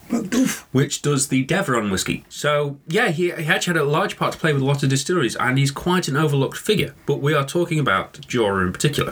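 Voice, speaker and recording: A man with a British accent talks at a very fast pace, barely pausing, his pitch fairly high and his intonation lively. Noticeable background noise runs underneath. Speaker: whisky podcast host. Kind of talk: casual chat.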